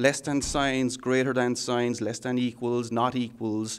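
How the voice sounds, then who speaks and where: With an Irish accent, a man speaks at a medium pitch. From Ireland. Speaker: software architect. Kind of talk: technical interview. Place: meeting room. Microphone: handheld.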